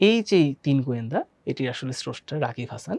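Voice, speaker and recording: Her intonation is lively. This woman's voice is very deep and low. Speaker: educational video presenter. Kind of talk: tutorial.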